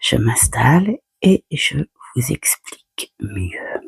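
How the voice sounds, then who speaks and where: A woman speaks in a soft-spoken way. The sound is dry and close, with no echo. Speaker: tarot card reader. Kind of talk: casual chat. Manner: halting.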